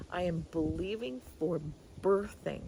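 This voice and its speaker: Audible room echo fills the recording. Through it, a woman talks. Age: 60s. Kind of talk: casual devotional talk. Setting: outdoors in a garden. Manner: animated.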